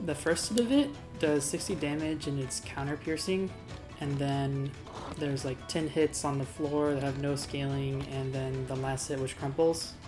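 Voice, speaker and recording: Mumbling at a moderate pace, a woman with a very deep, low pitch keeps her intonation fairly even while music plays in the background. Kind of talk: game tutorial commentary. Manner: a bit mumbly; casual, hesitant with fillers.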